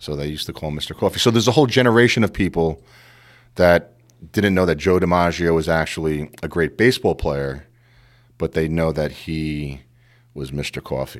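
On a very clean recording with a silent background, a man with a very deep, low pitch talks at a fairly quick pace with lively intonation. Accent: American. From New York City (Queens). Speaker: sports podcast host. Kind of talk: casual chat.

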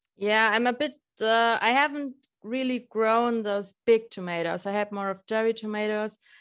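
A woman with a German accent at a moderate pace, with fairly even intonation and a quiet background. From Lower Bavaria, Germany. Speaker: balcony gardener. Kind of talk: casual interview chat.

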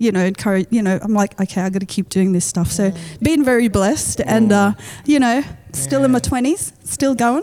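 A woman's dark, mellow voice sits at medium pitch, moving at a moderate pace with ordinary pitch variation. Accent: Australian. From Western Sydney, Australia. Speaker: rapper. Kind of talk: casual chat.

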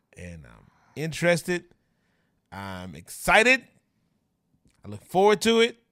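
A man speaks with an American accent and big swings in loudness. Long, frequent pauses break up his speech. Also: fairly slow pace. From Louisiana, US South. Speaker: social media influencer, former teacher. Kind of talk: casual chat. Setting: studio, on camera.

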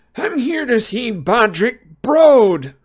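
Using a put-on character voice, a man talks in an extremely high pitch with a wheezy sound. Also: fairly slow pace.

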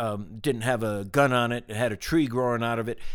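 Recorded very cleanly over a silent background, a man with an ordinary speaking voice talks at a fairly quick pace and medium pitch. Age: 60s. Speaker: business executive. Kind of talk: casual interview conversation. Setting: ranch in Wyoming, recorded in person.

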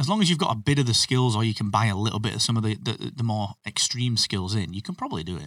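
A man speaks very fast with lively intonation. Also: medium pitch for a man, hardly any pauses. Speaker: podcasting expert and business owner. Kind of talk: casual interview chat. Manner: self-deprecating, humorous.

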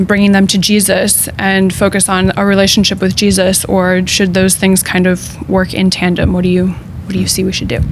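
Over noticeable background noise, a woman talks at a medium pitch in a flat monotone with hardly any pauses. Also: moderate pace. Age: young. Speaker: teacher. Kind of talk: panel discussion. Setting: studio.

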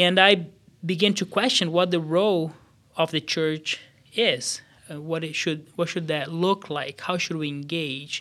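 Recorded very cleanly against a silent background, a man with a high pitch and a Portuguese accent speaks at a fairly slow pace. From Brazil, São Paulo State. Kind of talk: casual chat, faith testimony.

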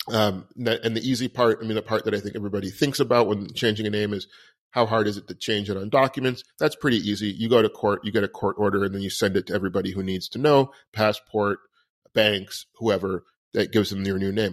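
At a very fast pace, a man with a fairly low pitch speaks with fairly even intonation. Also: very clean recording, silent background. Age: 40s. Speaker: podcast host. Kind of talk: personal monologue. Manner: hesitant, many fillers.

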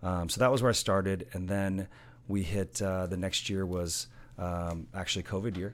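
With an American accent and a very deep, low pitch, a man speaks at a moderate pace and with fairly even intonation, on a very clean recording with a silent background. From Southern California. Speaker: golf tournament chairman. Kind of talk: casual interview.

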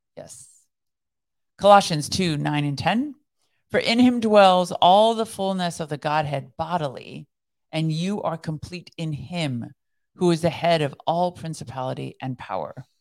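A woman speaks fairly slowly in a plain, everyday voice, fairly low in pitch, with lively intonation and big swings in loudness. The recording is very clean with a silent background. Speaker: devotional podcast co-host, former counterterrorism expert. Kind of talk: casual chat.

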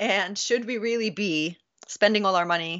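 A woman with an unremarkable speaking voice talks at a moderate pace. Her pitch variation is ordinary. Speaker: academic expert. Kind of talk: interview discussion.

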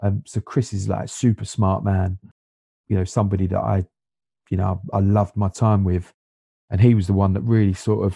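A man with a South London accent, very fast and somewhat breathy, fairly low in pitch with a dark, mellow tone, dry and close with no echo against a quiet background. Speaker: non-league footballer and assistant coach. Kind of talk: casual interview chat.

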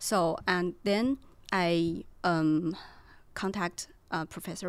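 With a Chinese accent, a woman with fairly low pitch keeps her intonation fairly even on a very clean recording with a silent background. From China. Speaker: PhD student. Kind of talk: casual chat.

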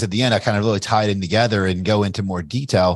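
Against a quiet background, a man speaks in a fairly low pitch. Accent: Kentucky. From US South. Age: 40s. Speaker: entrepreneur and investor. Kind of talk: interview. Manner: casual, with frequent fillers and restarts.

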